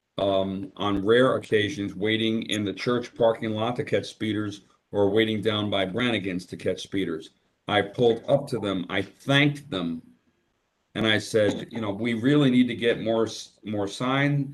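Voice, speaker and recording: A man is speaking at medium pitch. The pace is moderate. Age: 60s. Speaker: public commenter at town meeting. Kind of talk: public comment at meeting. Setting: video call. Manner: halting, with fillers.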